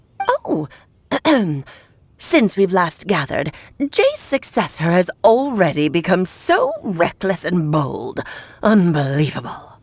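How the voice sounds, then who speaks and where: Putting on a character voice, a woman at medium pitch speaks fairly slowly with long, frequent pauses. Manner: imperious, scolding.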